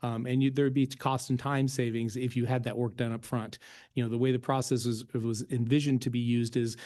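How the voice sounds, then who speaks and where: A man's medium-pitched, dark and mellow voice at a very fast pace in a monotone, flat intonation. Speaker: state agency presenter. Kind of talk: presentation.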